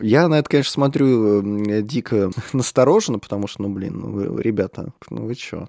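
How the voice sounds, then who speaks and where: Heard in a dry, close sound with no echo, a man speaks in a dark, mellow tone. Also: medium pitch for a man, ordinary pitch variation, moderate pace. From Moscow, Russia. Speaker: podcast host, transport specialist. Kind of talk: casual chat. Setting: studio.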